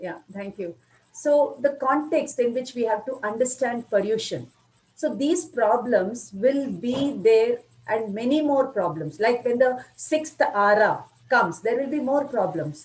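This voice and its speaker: With an Indian accent, a woman speaks at a high pitch and with lively intonation. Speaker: spiritual lecturer. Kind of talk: lecture. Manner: good flow, clear.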